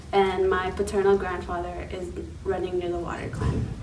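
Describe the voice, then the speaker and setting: Through noticeable background noise and audible room echo, a woman speaks with an American accent. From Navajo Nation, US Southwest. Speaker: panelist. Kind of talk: self-introduction. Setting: library panel.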